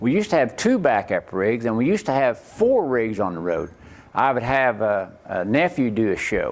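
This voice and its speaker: A man with an Oklahoma accent speaks at a moderate pace, his medium pitch making very wide swings. The recording is very clean, with a silent background. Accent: Oklahoma rural Southern US. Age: 60s. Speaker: rodeo performer. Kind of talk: interview.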